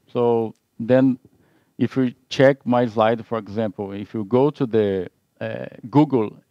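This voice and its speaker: A man with a Portuguese accent speaks at medium pitch and a fairly slow pace, his tone dark and mellow and his intonation fairly even. The sound is dry and close with no echo, over a quiet background. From Brazil. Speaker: IT consultant. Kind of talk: webinar presentation.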